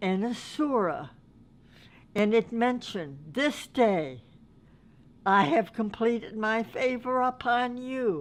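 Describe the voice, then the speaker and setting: A woman's fairly high voice with lively intonation, a very slow pace and long, frequent pauses, on a very clean recording over a silent background. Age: old. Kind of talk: personal testimony to an audience.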